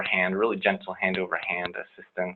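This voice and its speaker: The man's voice sits at a fairly low pitch. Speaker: music therapist. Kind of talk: lecture. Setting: webinar. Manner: fast; halting with fillers.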